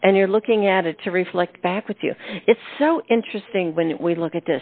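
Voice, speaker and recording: A woman's plain, everyday voice at medium pitch, at a fairly quick pace with ordinary pitch variation. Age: 60s. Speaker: radio host. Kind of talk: casual chat.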